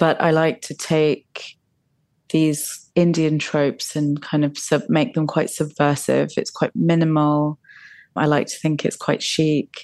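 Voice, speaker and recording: Speaking fairly slowly in a British accent, a woman has a very deep, low pitch. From England. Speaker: fashion designer. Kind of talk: interview.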